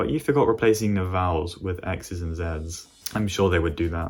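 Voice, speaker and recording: In a British accent, a man with a very deep, low pitch speaks with ordinary pitch variation. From Britain. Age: 18. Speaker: gaming YouTuber. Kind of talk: casual Q&A chat.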